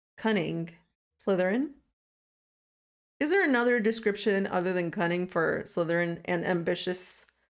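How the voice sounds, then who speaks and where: A soft-spoken woman at medium pitch talks at a moderate pace with ordinary pitch variation and very even loudness. She leaves long, frequent pauses, and the recording is very clean with a silent background. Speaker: gaming streamer. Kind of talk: live gameplay commentary. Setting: live stream.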